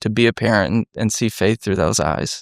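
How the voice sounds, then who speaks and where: A man with an American accent and an unremarkable speaking voice talks at medium pitch and a moderate pace with ordinary pitch variation. The recording is very clean, with a silent background and a dry, close sound with no echo. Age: 30s. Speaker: former detective, nonprofit founder. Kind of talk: podcast interview. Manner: conversational, warm.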